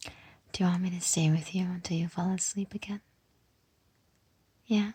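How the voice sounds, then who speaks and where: A soft-spoken woman talks at a moderate pace in a dark, mellow, soothing tone that is somewhat breathy. Her medium pitch stays monotone and flat. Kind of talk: comforting roleplay talk to listener. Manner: soft-spoken, soothing.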